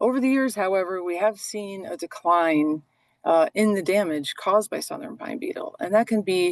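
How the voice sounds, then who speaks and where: A woman with an ordinary speaking voice, lively intonation and a moderate pace, in a dry, close sound with no echo. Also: medium pitch for a woman. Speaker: forest manager. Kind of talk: webinar presentation.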